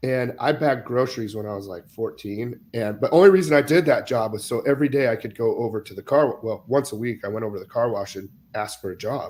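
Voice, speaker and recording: With a Midwestern American accent, a man talks at a medium pitch. He keeps a fairly quick pace. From US Midwest (Iowa). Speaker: podcast host. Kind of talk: casual chat.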